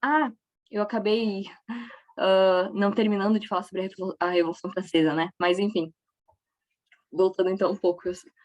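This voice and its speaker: Recorded dry and close with no echo, a woman speaks at a fairly quick pace. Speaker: history teacher. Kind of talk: lecture.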